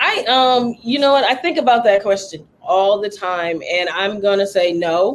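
At a fairly slow pace, this speaker talks in a Lowcountry accent with hardly any pauses. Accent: Southern US, Lowcountry. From US South, Charleston, South Carolina. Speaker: DJ. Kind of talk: casual chat.

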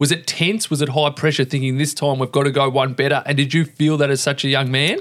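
A man with an Australian accent speaks very fast at a fairly high pitch, in a monotone, flat intonation with very even loudness, in a very clean recording with a silent background. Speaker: podcast host. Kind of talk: interview.

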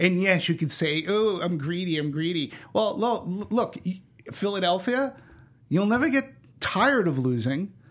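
Lively intonation marks this man's speech. He has an American accent and a high pitch. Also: moderate pace. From Boston. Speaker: movie podcast guest. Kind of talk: casual chat.

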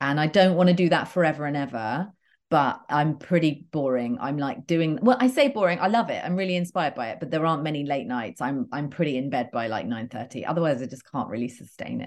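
A woman's very deep, low voice with an English accent, very wide pitch swings, very fast pace and hardly any pauses, against a quiet background. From England, near London. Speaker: entrepreneur, former TV host. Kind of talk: casual chat. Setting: video call.

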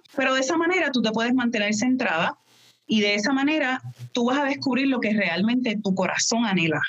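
Using a plain, everyday voice, a woman with a fairly high pitch speaks with lively intonation. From Puerto Rico. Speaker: wedding planner and podcaster. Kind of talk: interview.

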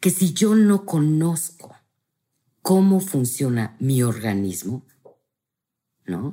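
A woman speaks at a very slow pace in a dark, mellow tone. Her pitch swings very widely. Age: 50s. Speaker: family constellation therapist. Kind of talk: casual interview.

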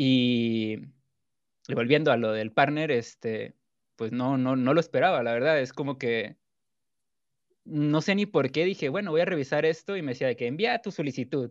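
A man's medium-pitched voice with lively intonation at a moderate pace, broken by long, frequent pauses, over a quiet background. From Mexico, Culiacán, Sinaloa. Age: 20s. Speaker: gaming streamer. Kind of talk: casual chat.

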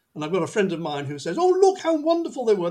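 The speaker has a Manchester accent and very wide pitch swings. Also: man. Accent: northern English (Mancunian). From northern England, Manchester. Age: 70s. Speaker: football podcast host, author. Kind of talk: casual chat.

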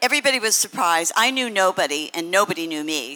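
The voice is bright and sharp in tone, with very wide pitch swings. It is a very clean recording with a silent background. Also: woman. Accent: American. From Los Angeles, California. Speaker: pioneering marathon runner and coach. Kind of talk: live panel discussion. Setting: stage with audience.

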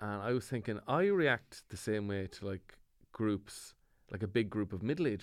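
This man speaks with an Ulster accent. His pace is moderate. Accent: Irish (Cavan). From Ireland, County Cavan. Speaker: comedian. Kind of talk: casual chat.

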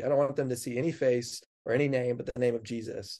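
The speaker has an American accent and a monotone, flat delivery at a fairly quick pace. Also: man. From US Pacific Northwest, Snoqualmie Valley, Washington. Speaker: pastor. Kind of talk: casual chat.

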